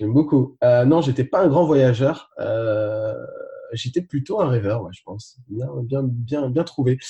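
Speaking at a very slow pace, a man with a medium-pitched, dark, mellow, somewhat breathy voice shows ordinary pitch variation and big swings in loudness. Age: 30s. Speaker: fitness coach and travel vlogger. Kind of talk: interview about travel.

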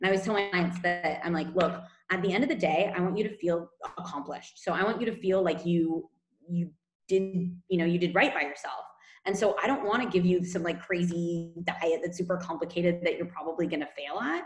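With an American accent, the speaker goes at a fairly quick pace, sounding somewhat breathy, with fairly even intonation. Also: woman, fairly low pitch for a woman. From California, US. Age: 30s. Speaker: nutrition coach. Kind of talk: casual interview chat. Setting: remote call from Spain.

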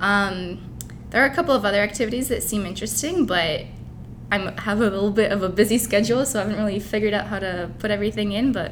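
Over noticeable background noise, a woman speaks very fast at a medium pitch, with ordinary pitch variation. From Dubai, with Ukrainian family. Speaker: university student, fitness enthusiast. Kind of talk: interview. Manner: casual, with fillers.

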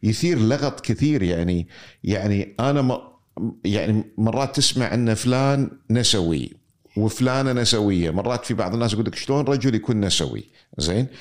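A man's medium-pitched voice at a moderate pace, with very even loudness and ordinary pitch variation. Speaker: interviewer. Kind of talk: conversational interview.

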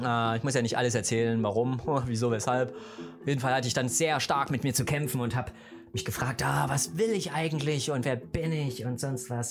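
With music in the background, a man speaks at a medium pitch and a moderate pace, with ordinary pitch variation. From East Germany. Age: 40s. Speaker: podcaster. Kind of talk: casual monologue.

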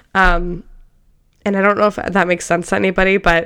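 The intonation is monotone and flat. A woman is speaking at a medium pitch. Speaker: podcast host. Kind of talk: solo motivational monologue. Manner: casual, chatty.

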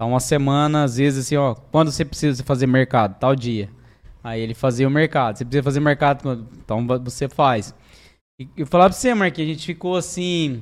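On a very clean recording with a silent background, a man with a plain, everyday voice speaks at a fairly quick pace, fairly high in pitch with ordinary pitch variation. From Mato Grosso do Sul, Brazil. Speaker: business owner. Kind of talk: casual interview.

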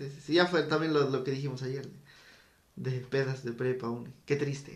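With monotone, flat intonation, a man speaks slowly at a fairly high pitch. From State of Mexico, Teotihuacán area. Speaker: podcast co-host. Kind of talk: casual chat.

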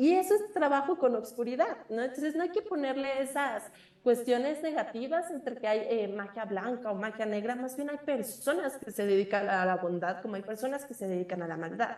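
Pitch leaps very widely as the speech runs at a fairly brisk clip. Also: woman, high pitch for a woman. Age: 20s. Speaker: witch and magic practitioner. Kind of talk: interview. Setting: remote call.

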